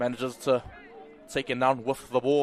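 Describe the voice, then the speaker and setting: A man's medium-pitched voice with a strong New Zealand accent, over noticeable background noise. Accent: thick New Zealand. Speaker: rugby league commentator. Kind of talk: live commentary. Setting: commentary booth. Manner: animated.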